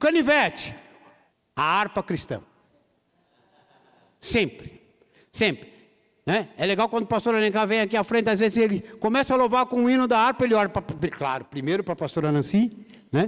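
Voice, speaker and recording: Lively intonation and long, frequent pauses mark this moderate-paced speech, recorded very cleanly against a silent background. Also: man, high pitch for a man. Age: 60s. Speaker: pastor. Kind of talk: sermon. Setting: church.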